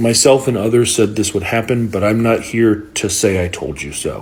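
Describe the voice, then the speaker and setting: A somewhat breathy man speaks at a medium pitch in an American accent. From Florida. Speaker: social media commentator. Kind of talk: political commentary. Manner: emphatic.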